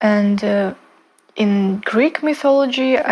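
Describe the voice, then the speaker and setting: Ordinary pitch variation from a woman with a non-native accent. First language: not English. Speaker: spiritual content creator. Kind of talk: casual talk to camera. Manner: halting, many fillers and restarts.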